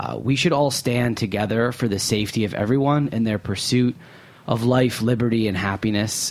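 A man speaks at medium pitch with a plain, everyday voice. His intonation stays fairly even. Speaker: food radio host. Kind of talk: interview. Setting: studio.

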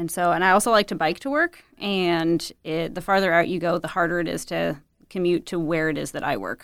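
A woman talks at a fairly quick pace with ordinary pitch variation and a fairly low pitch, in an ordinary speaking voice. The recording is very clean, with a silent background. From US Midwest, Windsor Heights, Iowa. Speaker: litigant, nonprofit worker with homeless adults. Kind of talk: casual chat.

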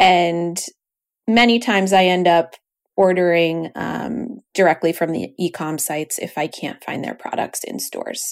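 A woman with an American accent has an ordinary speaking voice, fairly low pitch and ordinary pitch variation. She talks at a fairly slow pace with big swings in loudness, in a very clean recording with a silent background. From New York, US. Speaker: podcast co-host. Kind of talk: casual chat.

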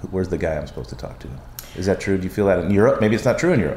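The intonation is lively. Background noise is noticeable throughout. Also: man. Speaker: podcast host and bar industry figure. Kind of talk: casual interview chat. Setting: makeshift portable studio at a conference.

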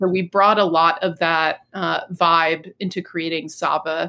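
At a fairly slow pace and with hardly any pauses, a woman with a fairly low pitch speaks in monotone, flat intonation. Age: 40s. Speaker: cannabis business founder. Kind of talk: interview. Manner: hesitant, many fillers.

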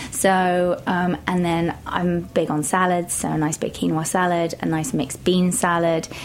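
A woman with an English accent speaks in a fairly low, monotone voice with flat intonation. Noticeable background noise runs underneath. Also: hardly any pauses. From England, Shropshire. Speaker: personal trainer and author. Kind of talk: interview. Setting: studio.

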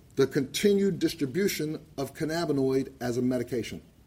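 With a moderate tempo, the man's pitch moves in an ordinary way. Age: 60s. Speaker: cannabis activist and veteran. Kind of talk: public testimony. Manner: impassioned.

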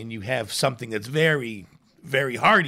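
In a Chicago accent, a man speaks at a medium pitch with lively intonation on a very clean recording with a silent background. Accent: Chicago American English. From US Midwest (Chicago). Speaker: chef and restaurateur. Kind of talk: casual chat. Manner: halting, many fillers.

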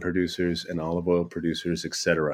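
In a very clean recording with a silent background, a man with an American accent talks at a fairly quick pace in a very deep, low pitch and a monotone, flat intonation. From Michigan, US Midwest. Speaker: specialty food manager at a deli. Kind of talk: casual interview.

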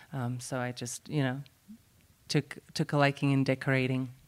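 A woman with a Slovak accent and a very deep, low pitch is heard in a very clean recording with a silent background. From Slovakia. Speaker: baker and cafe owner. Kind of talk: casual interview chat. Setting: recorded at a conference, podcast seminar.

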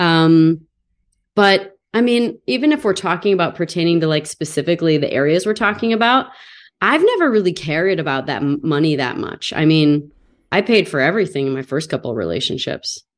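With a plain, everyday voice, a woman talks at a fairly quick pace, her fairly low pitch carrying lively intonation over a quiet background. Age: 40s. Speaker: podcast host. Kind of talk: casual interview chat.

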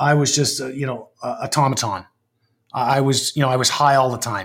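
A man with a Canadian accent, ordinary pitch variation, and a very clean recording over a silent background. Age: 50s. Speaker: lawyer. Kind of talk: interview about personal struggles. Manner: halting, many fillers.

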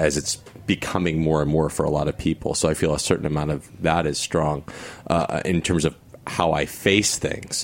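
Over noticeable background noise, a man with a very deep, low voice speaks at a fairly quick pace. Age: 30s. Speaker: stage actor. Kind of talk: casual chat.

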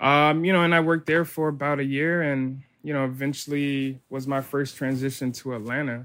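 A man talks at a fairly quick pace with hardly any pauses. His fairly high voice stays monotone and flat. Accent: American. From South Florida. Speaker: chef. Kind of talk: casual interview. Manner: halting, many fillers and repetitions.

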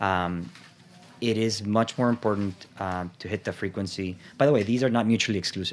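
A man's fairly low voice, with fairly even intonation, moves at a fairly quick pace. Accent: Salvadoran. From El Salvador. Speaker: food company sales executive. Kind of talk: interview.

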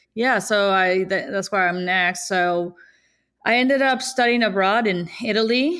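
Speaking with a Spanish accent, a woman has a bright, sharp tone at medium pitch with ordinary pitch variation, captured in a very clean recording with a silent background. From Mexico (Sonora). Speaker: tortilla maker and business owner. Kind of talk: interview.

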